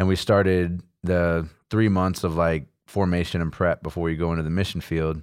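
With an American accent, a man speaks at a moderate pace in a very deep, low pitch, on a very clean recording with a silent background. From Texas, Houston area. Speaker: missionary. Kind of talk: casual interview. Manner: casual, animated.

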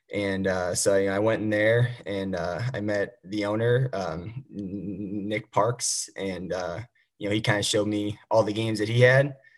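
A plain, everyday voice: a man with an American accent, fairly low pitch, fairly even intonation and a moderate pace, in a very clean recording with a silent background. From Missouri, St. Louis. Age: 20s. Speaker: competitive pinball player. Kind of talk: casual interview.

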